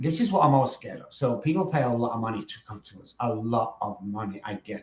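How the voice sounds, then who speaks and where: An animated man with an English accent, medium in pitch, ordinary in pitch variation, at a moderate pace. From northern England, Manchester. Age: 60s. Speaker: recovery coach and former musician. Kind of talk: podcast interview.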